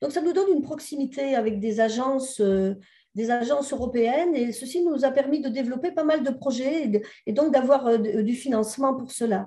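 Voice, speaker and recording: A woman talks at a fairly quick pace in a high pitch with a dark, mellow tone. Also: ordinary pitch variation. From southern France. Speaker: sociologist and researcher. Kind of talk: conference presentation. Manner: hesitant, many fillers.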